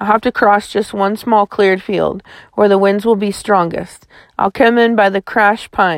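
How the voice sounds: The voice heard here reads in a natural way.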